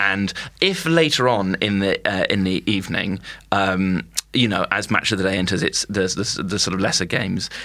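A man speaks in an RP accent at a fairly low pitch and a moderate pace, with ordinary pitch variation. His tone is bright and sharp, and his loudness stays very even. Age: 20s. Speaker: comedian. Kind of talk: casual chat. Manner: halting.

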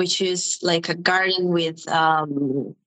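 A woman's fairly low voice with an Italian accent. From Sicily, southern Italy. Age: 20s. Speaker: youtuber, language learner. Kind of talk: casual interview. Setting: video call.

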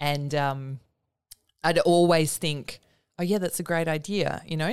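A woman's very deep, low voice with an Australian accent, at a moderate pace and with fairly even intonation, in a very clean recording with a silent background. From Perth, Western Australia. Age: 30s. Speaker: writer. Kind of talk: interview.

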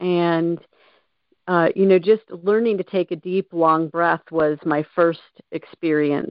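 A normal speaking voice from a woman, fairly low in pitch, at a moderate pace. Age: 50s. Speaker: abuse survivor and recovery coach. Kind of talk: interview.

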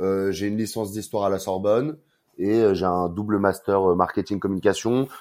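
The recording is very clean, with a silent background. A man speaks fairly quickly at a fairly low pitch. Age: 30s. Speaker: brand marketing manager. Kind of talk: interview.

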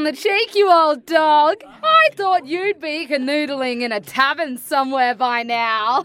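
A woman with an Australian accent uses a raised, projected voice at an extremely high pitch. She speaks fairly slowly over noticeable background noise. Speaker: opera singer. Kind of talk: common, unrefined, slangy.

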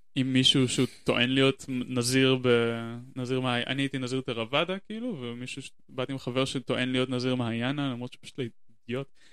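A man with an ordinary speaking voice and a medium pitch keeps his intonation fairly even as he speaks at a fairly quick pace. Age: 30s. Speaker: podcast guest. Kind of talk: casual chat. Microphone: shared single channel, close to mic, plosives.

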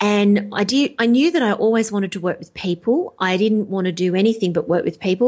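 Talking at a fairly quick pace with hardly any pauses, a woman with an Australian accent has a medium pitch and ordinary pitch variation. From Australia, rural. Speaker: life coach. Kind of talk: interview.

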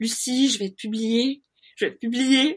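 Someone uses a shaky put-on character voice at a moderate pace with ordinary pitch variation. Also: woman, high pitch for a woman. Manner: excited, shaky with emotion.

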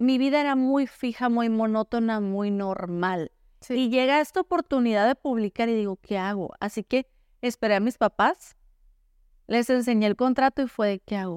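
This woman has a fairly high pitch, ordinary pitch variation, and a Sonoran accent. The sound is dry and close with no echo, on a very clean recording with a silent background. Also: moderate pace. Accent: northern Mexican (Sonora), somewhat blunt. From Sonora, northern Mexico. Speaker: novelist. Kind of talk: interview.

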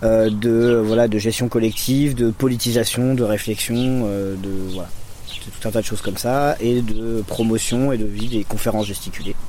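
A man speaks in a medium pitch with monotone, flat intonation, amid audible room echo and noticeable background noise. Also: moderate pace. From Lyon area, France. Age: 30s. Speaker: community educator and activist. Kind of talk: interview. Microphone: poor recording quality.

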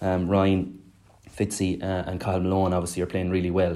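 With a Clare accent, a man talks at a moderate pace in a very deep, low pitch. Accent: Irish, Clare. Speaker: former hurler and pundit. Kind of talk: casual sports analysis chat.

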